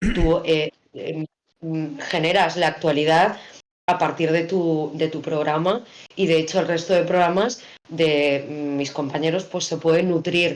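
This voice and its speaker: A woman speaks in a normal speaking voice at a fairly low pitch. Her pace is fairly slow and her intonation fairly even. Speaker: radio announcer / broadcaster. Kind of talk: interview answer about radio work.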